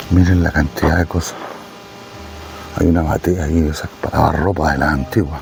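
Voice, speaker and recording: With music in the background, a soft-spoken man with a very deep, low pitch talks at a fairly quick pace with fairly even intonation and long, frequent pauses. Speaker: travel vlogger. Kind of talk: walking tour vlog.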